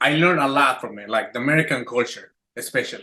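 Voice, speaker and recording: The tone is bright and sharp, at a moderate pace. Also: man. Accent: Spanish. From Mexico City. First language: Spanish. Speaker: chef. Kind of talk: casual chat.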